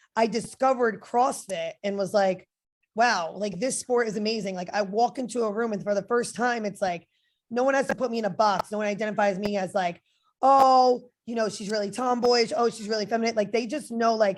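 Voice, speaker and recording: A woman with a New Jersey accent talks at a fairly quick pace against a quiet background. Her pitch varies in an ordinary way. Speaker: fitness model and personal trainer. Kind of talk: interview. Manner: casual, filler-heavy.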